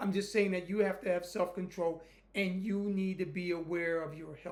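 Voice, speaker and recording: A high-pitched man at a moderate pace, with audible room echo. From United States. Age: 60s. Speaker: YouTuber, Air Force veteran. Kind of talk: casual monologue.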